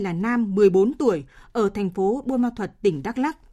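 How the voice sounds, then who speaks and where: Speaking slowly-ish, a woman uses a fairly high, somewhat breathy voice with a dark, mellow tone and lively intonation. The recording is very clean with a silent background. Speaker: radio newsreader. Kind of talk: news reading. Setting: studio. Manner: formal.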